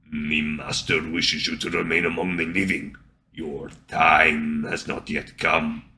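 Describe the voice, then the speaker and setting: A fairly slow, raspy put-on character voice. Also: man, very deep, low pitch for a man. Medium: read story. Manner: cold, flat, formal.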